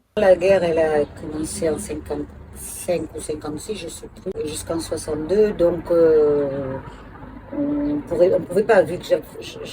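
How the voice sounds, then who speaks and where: Over noticeable background noise, a woman speaks at a very slow pace with big swings in loudness. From Algeria. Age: 70s. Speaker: grandmother interviewee. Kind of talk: interview.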